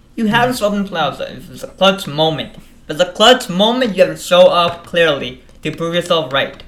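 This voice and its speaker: Fairly quick speech with lively intonation, big swings in loudness and noticeable background noise. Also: man, high pitch for a man. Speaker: co-host.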